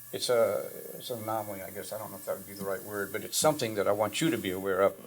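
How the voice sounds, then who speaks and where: A man talks at a very fast pace. His fairly low voice shows ordinary pitch variation. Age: 70s. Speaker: drum teacher, former symphony percussionist and professor. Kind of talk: casual talk in recording session. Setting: private home studio.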